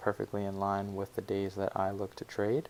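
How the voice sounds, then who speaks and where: A quiet man's voice, fairly low in pitch, at a moderate pace. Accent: American. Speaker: forex trading educator. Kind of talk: market analysis tutorial. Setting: family home, pre-recorded. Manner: quiet, subdued; many filler words.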